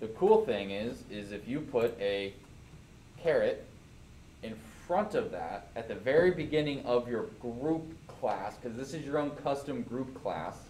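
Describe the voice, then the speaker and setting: Amid audible room echo, a man with a medium pitch and very wide pitch swings speaks at a fairly slow pace. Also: big swings in loudness. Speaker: programming teacher. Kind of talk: classroom lecture. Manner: casual.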